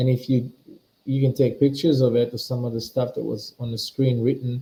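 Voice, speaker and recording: Speaking at a moderate pace with a non-native accent, a man has a medium pitch, a somewhat breathy voice, a dark, mellow tone and monotone, flat intonation. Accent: noticeable foreign. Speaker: spiritual teacher. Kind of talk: live webinar talk. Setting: live stream webinar. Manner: halting, repetitive.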